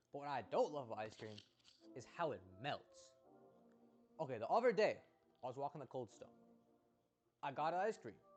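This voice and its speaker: Over music in the background, a man speaks with lively intonation, long, frequent pauses and big swings in loudness. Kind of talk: casual monologue to camera.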